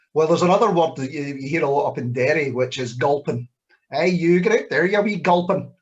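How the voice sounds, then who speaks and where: A very fast pace in a Scottish accent. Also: man, fairly high pitch for a man, ordinary pitch variation. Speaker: poet. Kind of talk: Q&A at live spoken word event.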